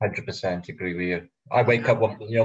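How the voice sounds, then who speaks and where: Somewhat breathy and with fairly even intonation, a man speaks with a strong Welsh accent. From Wales. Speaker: flat earth video creator. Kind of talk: casual chat. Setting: live stream.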